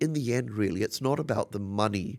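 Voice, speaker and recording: A man with a fairly low voice is heard on a very clean recording against a silent background. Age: 60s. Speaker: fashion designer. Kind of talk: interview. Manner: animated.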